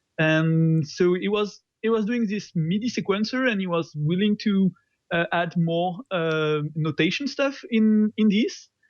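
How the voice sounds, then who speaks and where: A man with a French accent speaks at a fairly slow pace in a high voice, with ordinary pitch variation, against a quiet background. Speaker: open source software developer. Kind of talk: interview. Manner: hesitant, many fillers.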